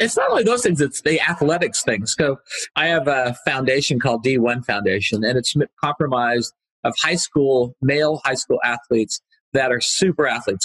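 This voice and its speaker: A man talks at a moderate pace with a medium pitch and ordinary rise and fall. The sound is dry and close, with no echo. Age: 60s. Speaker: entrepreneur and author. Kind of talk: podcast interview. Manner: animated storytelling.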